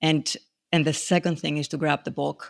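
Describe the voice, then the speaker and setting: A non-native accent comes through in a monotone, flat delivery with vocal fry. The recording is very clean, with a silent background. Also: woman, dry, close sound with no echo. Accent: foreign. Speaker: grief educator, author. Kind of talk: interview.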